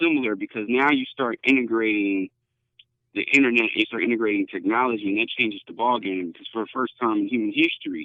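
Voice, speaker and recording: A normal speaking voice from a man, medium in pitch, at a fairly quick pace. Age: 30s. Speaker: futurist and innovation consultant. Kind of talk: podcast interview. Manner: fillers and repetitions.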